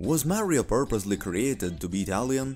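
A man speaks at a fairly quick pace. Background music accompanies his voice. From Italy. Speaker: gaming YouTuber. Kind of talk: video essay narration.

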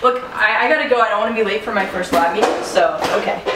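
Audible room echo and noticeable background noise surround this woman's speech. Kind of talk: casual phone conversation, comedic sketch. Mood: upbeat, brushing off alarm. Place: hall. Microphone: camera far.

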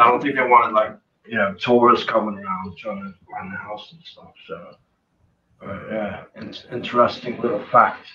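A man with an American accent, lively intonation, big swings in loudness, a moderate pace and noticeable background noise. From US, New Jersey. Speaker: punk singer; interview guest. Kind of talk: interview. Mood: relaxed, animated storytelling. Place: home room. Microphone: video call.

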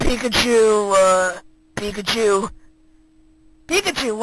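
A put-on character voice is delivered at a fairly slow pace in a fairly high pitch.

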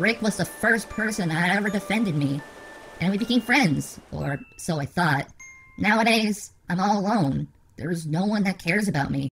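With music in the background, a man speaks at a moderate pace in a high pitch with lively intonation. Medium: machinima. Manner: self-pitying, frustrated, earnest.

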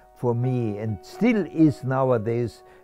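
Over clear music in the background, a man talks at a very slow pace with lively intonation, and the sound is dry with no echo. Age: 80s+. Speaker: Holocaust survivor. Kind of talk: interview answer. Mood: warm, animated storytelling. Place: home room.

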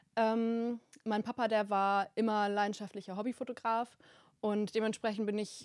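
Recorded with dry sound, no echo and a quiet background, a woman speaks at a moderate pace. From northern Germany, rural Hamburg area; northern Germany. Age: 20s. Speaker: wedding photographer; podcast guest. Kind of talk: podcast interview, casual chat; interview answer. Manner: many filler words (ähm). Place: studio. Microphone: handheld.

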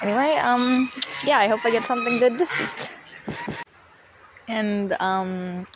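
Intonation is lively as a woman speaks at a fairly slow pace, leaving long, frequent pauses. Background noise is noticeable. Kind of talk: casual gameplay voice-over. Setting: outdoors. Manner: hesitant, casual.

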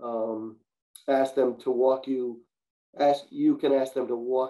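Speaking slowly, a man uses a medium pitch, fairly even intonation and a dark, mellow tone.

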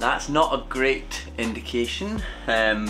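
A man's voice over clear music in the background. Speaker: motorbike restorer vlogger. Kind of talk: casual vlog chat. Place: workshop. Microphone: phone near.

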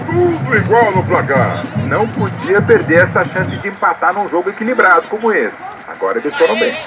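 A man talks at a medium pace with music going in the background. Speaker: amateur match narrator. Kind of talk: commentary. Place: stadium. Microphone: phone near.

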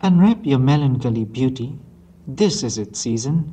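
A man speaks at a fairly high pitch. His voice is somewhat breathy with a dark, mellow tone. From Myanmar. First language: Burmese. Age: young. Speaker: poet. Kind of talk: poetry reading. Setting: old analog tape recording. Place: hall. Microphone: old recording.

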